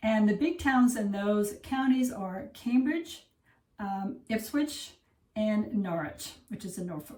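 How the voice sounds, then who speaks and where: An American-accented woman talks at a very slow pace with a fairly high pitch. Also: lively intonation, big swings in loudness. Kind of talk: casual vlog narration. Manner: animated.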